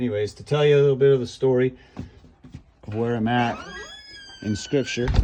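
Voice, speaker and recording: A man's relaxed tone with fairly even intonation and long, frequent pauses, over noticeable background noise. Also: medium pitch for a man, fairly quick pace. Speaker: small farmer and vlogger. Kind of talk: informal scripture reflection; casual vlog talk walking outdoors. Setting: outdoors on the farm. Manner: relaxed, with frequent fillers.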